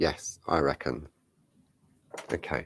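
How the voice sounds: The man's voice is croaky. Vocal fry runs through it.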